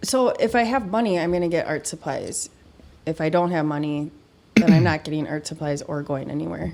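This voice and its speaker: With a strong Midwestern accent, a woman with a very deep, low pitch talks at a fairly quick pace and with lively intonation. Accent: Midwest accent, thick. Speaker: painter and curator. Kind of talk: casual chat.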